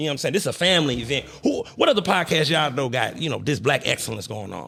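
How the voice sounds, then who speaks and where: In a St. Louis accent, a man talks at a very fast pace with a fairly high pitch, a bright, sharp tone, and lively intonation. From St. Louis, Missouri. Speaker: podcast host. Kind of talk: casual interview. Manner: animated.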